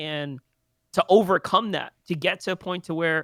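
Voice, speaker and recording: A man with a New York accent speaks at a moderate pace with ordinary pitch variation, his bright, sharp tone captured dry and close with no echo on a very clean recording with a silent background. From New York City, the Bronx. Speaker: esports caster and entrepreneur. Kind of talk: casual podcast chat. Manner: halting, many fillers and repeats.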